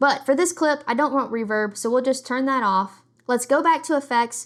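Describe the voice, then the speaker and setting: Very clean, with a silent background, the recording captures a woman speaking in a high voice. She talks at a fairly quick pace with lively intonation. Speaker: video editing tutorial creator. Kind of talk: tutorial.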